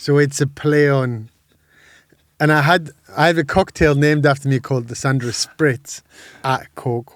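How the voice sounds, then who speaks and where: A man speaks with a Geordie accent, his pitch fairly high. He keeps a moderate pace with long, frequent pauses. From northern England, Sunderland. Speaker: music industry entrepreneur and drag performer. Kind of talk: casual chat. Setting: podcast studio. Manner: loud; animated.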